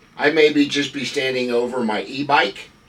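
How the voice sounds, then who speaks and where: Noticeable background noise accompanies a man with a fairly high pitch speaking at a moderate pace. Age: 70s. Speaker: senior lifestyle vlogger. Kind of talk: casual monologue to camera. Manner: calm, conversational with fillers.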